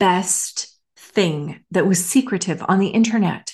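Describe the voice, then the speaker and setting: A somewhat breathy woman speaks at a very slow pace with ordinary pitch variation over a quiet background. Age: 50s. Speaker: podcast host, former government manager. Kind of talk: casual solo monologue.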